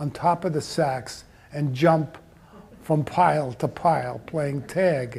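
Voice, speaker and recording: A man with a fairly high pitch speaks very slowly. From Austria. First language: German. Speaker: Holocaust-era refugee speaker. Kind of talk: personal life story talk.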